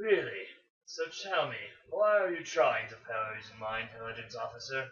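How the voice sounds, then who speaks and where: A man growls in a put-on character voice at a medium pitch. He keeps a moderate pace. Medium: read story. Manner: commanding, snarling.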